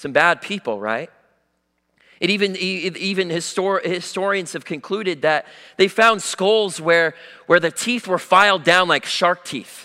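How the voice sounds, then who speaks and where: At a fairly slow pace, a man with high pitch uses a raised, projected voice in a bright, sharp tone. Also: ordinary pitch variation. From US Pacific Northwest. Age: young. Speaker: young lay preacher. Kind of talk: sermon. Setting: church.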